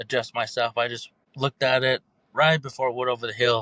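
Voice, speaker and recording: A man's bright, sharp voice with an American accent at a fairly quick pace, in a dry, close sound with no echo. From Navajo reservation, northeastern Arizona. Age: 20s. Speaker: storyteller sharing paranormal encounters. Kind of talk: personal story telling in podcast interview.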